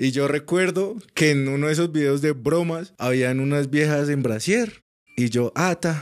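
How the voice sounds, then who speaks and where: At a moderate pace, a man speaks in a plain, everyday voice with a fairly high pitch and ordinary pitch variation. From Colombia, Cúcuta. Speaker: podcast guest. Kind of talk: casual chat.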